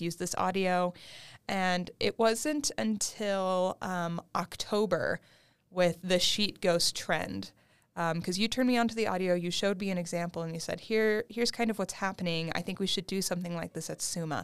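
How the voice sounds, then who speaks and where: An ordinary speaking voice from a woman, medium-pitched and moderately paced with ordinary pitch variation, on a very clean recording against a silent background. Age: 20s. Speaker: graduate student and museum engagement associate. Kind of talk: casual chat.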